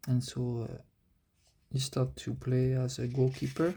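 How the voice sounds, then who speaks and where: A man with a French accent talks at medium pitch, somewhat breathy, in a dark, mellow tone. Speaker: amateur manga artist. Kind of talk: casual vlog commentary. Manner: halting, many fillers.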